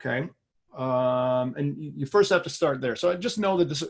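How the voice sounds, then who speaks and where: Here a man talks in a fairly high pitch with ordinary variation. The background is quiet. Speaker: finance executive and trader. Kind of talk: webinar presentation. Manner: fast.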